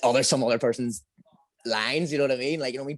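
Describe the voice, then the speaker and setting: Recorded with a dry, close sound and no echo, a man speaks in a Northern Irish accent. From Northern Ireland. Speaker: amateur MMA fighter. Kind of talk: interview. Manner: halting, repetitive.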